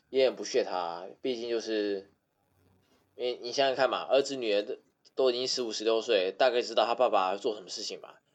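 A man talks at a fairly quick pace and a medium pitch with fairly even intonation, his loudness swinging widely. It is an unremarkable speaking voice. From Taiwan, Taipei. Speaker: podcast guest. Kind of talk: casual chat.

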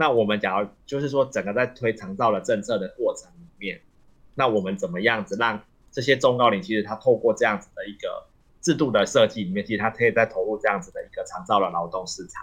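Talking very fast, a man speaks at a medium pitch with ordinary pitch variation. His loudness swings widely. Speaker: associate professor of elderly long-term care. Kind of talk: radio interview. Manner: halting, many fillers.

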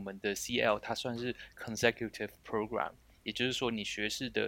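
Bright, sharp tone from a man, intonation fairly even. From Taiwan. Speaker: software engineer. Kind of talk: casual interview.

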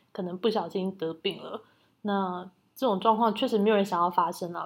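In a very clean recording with a silent background, a woman talks at a fairly quick pace with monotone, flat intonation. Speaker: podcast co-host. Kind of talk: casual chat.

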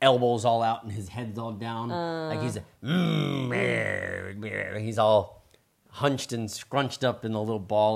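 An unforced voice reading aloud, pitch varying in an ordinary way

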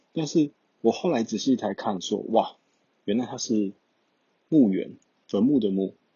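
Speaking fairly slowly with a Taiwanese accent, a man leaves long, frequent pauses and shows ordinary pitch variation. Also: medium pitch for a man. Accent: Taiwanese Mandarin. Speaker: exchange student vlogger. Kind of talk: casual solo talk.

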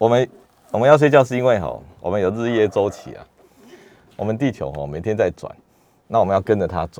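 A man talks at a fairly quick pace with lively intonation and vocal fry. His tone is dark and mellow, and his pitch is fairly low. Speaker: neurologist. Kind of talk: radio health interview. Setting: radio studio. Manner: hesitant, many fillers.

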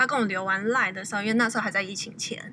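A woman speaks over noticeable background noise. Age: 20s. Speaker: guest. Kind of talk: casual interview.

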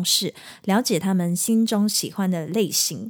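In a plain, everyday voice, a woman talks at a moderate pace with ordinary pitch variation. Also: very clean recording, silent background. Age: 30s. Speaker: singer and podcast host. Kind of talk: solo podcast monologue. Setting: at home.

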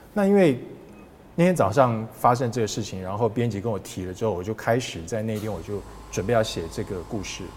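A man speaks at a fairly quick pace in a fairly low, somewhat breathy voice. His pitch varies in an ordinary way. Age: 50s. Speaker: sports broadcaster. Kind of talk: casual interview.

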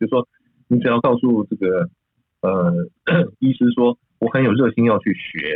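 A man with a medium-pitched voice talks at a moderate pace, varying his pitch in an ordinary way and leaving long, frequent pauses. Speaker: emergency physician and medical school vice dean. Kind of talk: interview discussion. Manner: hesitant, many fillers.

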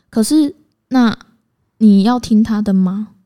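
A woman with a Taiwanese accent, fairly high in pitch, dark and mellow in tone, with fairly even intonation. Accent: Taiwanese Mandarin. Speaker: podcast co-host. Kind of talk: casual chat. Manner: direct, blunt.

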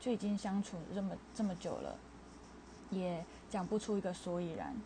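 A woman's medium-pitched voice, with ordinary pitch variation, moves along at a moderate pace. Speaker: podcaster. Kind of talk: casual monologue.

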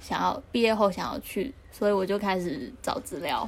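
With a plain, everyday voice, a woman talks at a fairly slow pace, her fairly high pitch showing ordinary variation. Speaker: podcast co-host. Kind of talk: casual chat. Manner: reserved.

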